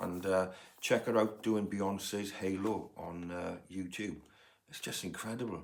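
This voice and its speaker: In a Welsh accent, a man with a fairly low pitch speaks fairly slowly in a flat monotone, with audible room echo. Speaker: music podcaster, vinyl collector, former music agent. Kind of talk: casual record collection review. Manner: hesitant, many fillers.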